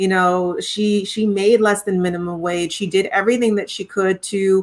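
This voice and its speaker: In a Trinidadian accent, a woman speaks at a moderate pace with a medium pitch and monotone, flat intonation, on a very clean recording with a silent background. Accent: Trinidadian, noticeable. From Montreal, Quebec, Canada (born in Trinidad). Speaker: singer-songwriter. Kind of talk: interview conversation.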